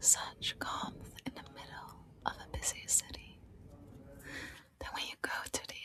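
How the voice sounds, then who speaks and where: A woman is whispering. Music plays in the background. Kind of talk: ASMR soft-spoken travel roleplay. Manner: soft-spoken, whispery.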